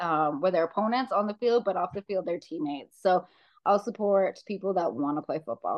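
Fairly quick speech comes from a woman. Her voice sits at a medium pitch. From Saskatchewan, Canada (small town). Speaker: amateur football player and coach. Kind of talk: interview.

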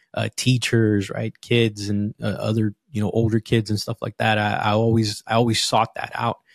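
With an American accent, a man speaks at a fairly low pitch with monotone, flat intonation and hardly any pauses. The sound is dry and close, with no echo. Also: moderate pace. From Los Angeles, Southern California. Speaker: fatherhood coach. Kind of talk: casual interview chat.

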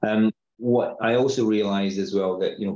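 A man talks in a Glaswegian accent. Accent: Scottish, Glaswegian-area. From Scotland, Paisley near Glasgow. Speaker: tech company CEO, security expert. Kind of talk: casual interview.

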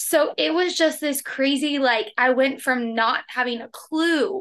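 Against a quiet background, a woman with a high pitch and a bright, sharp tone projects her raised voice at a moderate pace with ordinary pitch variation. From Oklahoma, US. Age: 20s. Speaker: health and nutrition coach. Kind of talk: interview conversation.

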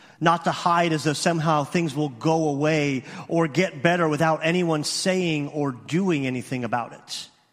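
There is an ordinary speaking voice from a man at a fairly high pitch with fairly even intonation. He keeps a moderate pace with hardly any pauses. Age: 40s. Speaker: youth minister. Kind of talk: sermon. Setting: church.

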